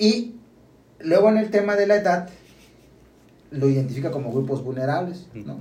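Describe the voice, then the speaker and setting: Speaking at a moderate pace, a man uses a high voice with a dark, mellow tone and very wide pitch swings. Long, frequent pauses break his speech, and room echo is audible. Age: 30s. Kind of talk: casual chat.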